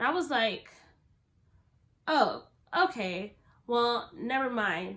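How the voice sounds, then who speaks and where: Speaking very slowly, a woman pauses long and often. Her voice is high and swings very widely in pitch. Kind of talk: casual talk to camera.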